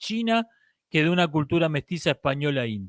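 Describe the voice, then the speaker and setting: Recorded very cleanly with a silent background and a dry, close sound with no echo, a man speaks in a fairly high pitch with a strong Argentine accent. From Argentina. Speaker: philosophy commentator. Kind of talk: live-stream talk.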